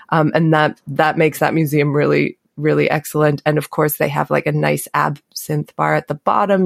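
A woman with a Canadian accent at a moderate pace, dry and close with no echo. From Canada. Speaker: pastry chef and cookbook author. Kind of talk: casual interview.

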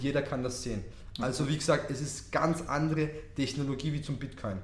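A man with a Tyrolean accent speaks at a moderate pace, his pitch fairly high and his intonation fairly even. Noticeable background noise and audible room echo fill the recording. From Austria, Tyrol. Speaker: crypto investor. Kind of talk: interview.

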